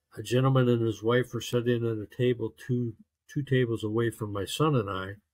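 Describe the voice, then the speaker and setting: With an American accent, a man speaks at a medium pitch, somewhat breathy and with fairly even intonation. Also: long, frequent pauses. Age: 70s. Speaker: navy veteran. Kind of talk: interview testimony. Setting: video call.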